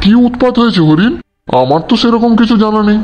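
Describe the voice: A man puts on a cartoonish character voice, pitched high for a man. He speaks at a fairly quick pace.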